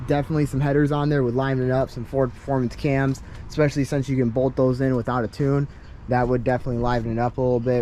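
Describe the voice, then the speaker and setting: Music plays in the background as a man talks at a very fast pace. His voice sits at a medium pitch with monotone, flat intonation. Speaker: car enthusiast YouTuber. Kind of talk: casual car review walkaround. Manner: halting, many fillers.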